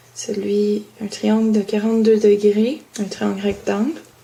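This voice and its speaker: Against noticeable background noise, a woman with a Quebec accent talks at a very slow pace. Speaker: student. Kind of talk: homework explanation. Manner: halting.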